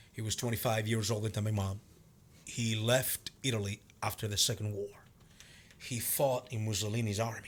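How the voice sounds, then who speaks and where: In a Venezuelan accent, a man speaks at a moderate pace with a monotone, flat intonation, a somewhat breathy quality, and long, frequent pauses. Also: fairly low pitch for a man. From Venezuela, Cumaná. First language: Spanish. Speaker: martial arts instructor and actor. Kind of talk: casual interview chat.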